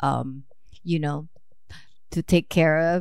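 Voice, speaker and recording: A woman speaking very slowly in a Filipino accent on a very clean recording with a silent background. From Philippines. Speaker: mother of the host, immigrant. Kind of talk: interview.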